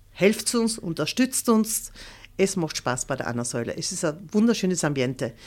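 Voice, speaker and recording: With an East Tyrolean accent, a woman talks at a moderate pace in a medium pitch, her voice showing vocal fry and very wide pitch swings. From East Tyrol, Austria (Leisach near Lienz). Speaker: choir association chairwoman. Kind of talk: interview.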